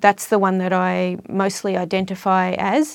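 In a very clean recording with a silent background, a woman with an Australian accent speaks at medium pitch in a monotone, flat intonation. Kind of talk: casual chat. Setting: studio.

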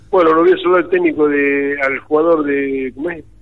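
Over noticeable background noise, a man keeps to a moderate pace. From Argentina, Pergamino. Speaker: sports commentator and journalist. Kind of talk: casual interview. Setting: phone call.

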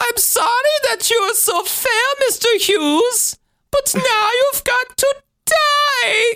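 In a put-on character voice, the speaker talks at a very slow pace with an extremely high pitch. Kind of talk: villainous, Bond-villain-like.

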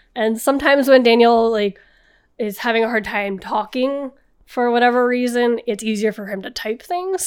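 An ordinary speaking voice goes at a moderate pace, its pitch varying in an ordinary way. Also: woman, very clean recording, silent background. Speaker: guest storyteller. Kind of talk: casual storytelling.

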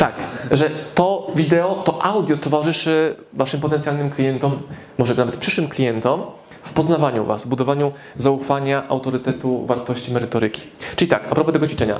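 Over noticeable background noise and audible room echo, a man with a fairly high pitch talks at a fairly quick pace with ordinary pitch variation. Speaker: business speaker and author. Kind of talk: live lecture to audience. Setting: stage with audience. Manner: fast; animated.

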